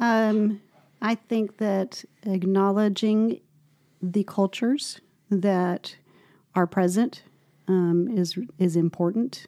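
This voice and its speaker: In an American accent, a woman speaks at a medium pitch and a very slow pace, her tone dark and mellow, her loudness very even, her pitch variation ordinary, with long, frequent pauses, in a very clean recording with a silent background and a dry, close sound with no echo. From Argentina and Texas. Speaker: parent in a multiracial family. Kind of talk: interview.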